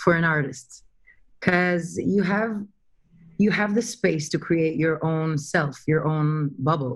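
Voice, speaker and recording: The background is quiet. A woman talks at a fairly low pitch. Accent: Russian. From Ukraine, raised in Israel. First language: Russian. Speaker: actress. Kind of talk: interview.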